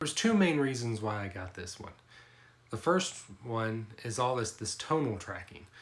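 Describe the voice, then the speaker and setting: Using a plain, everyday voice, a man speaks at a moderate pace with a medium pitch and lively intonation. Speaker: tech youtuber. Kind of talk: product review. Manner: casual.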